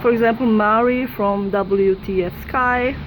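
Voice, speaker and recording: A woman is heard with noticeable background noise. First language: not English. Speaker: YouTuber debunking sky videos. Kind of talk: casual video commentary. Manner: halting, hesitant.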